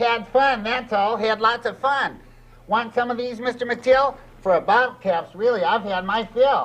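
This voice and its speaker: A cartoonish character voice with fairly high pitch at a moderate pace. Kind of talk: children's TV puppet rhyming patter. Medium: puppet show. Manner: playful, cheeky, sing-song rhymes.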